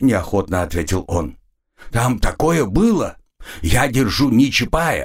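Nothing much sounds behind the speaker. The delivery is plain reading aloud.

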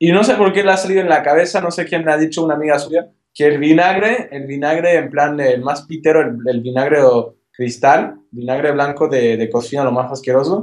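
This man has a plain, everyday voice, pitched fairly high, with ordinary pitch variation. He talks at a fairly quick pace with hardly any pauses. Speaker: podcast co-host. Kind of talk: casual chat. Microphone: connection keeps cutting out.

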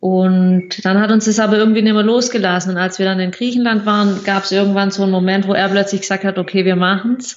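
A woman at medium pitch, very fast pace and hardly any pauses, with monotone, flat intonation. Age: 20s. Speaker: occupational therapist and traveler. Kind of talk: casual interview.

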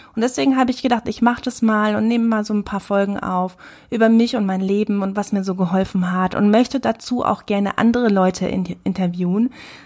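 At a fairly quick pace, a woman speaks at medium pitch with fairly even intonation. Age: 30s. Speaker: podcast host and photographer. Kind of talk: podcast monologue.

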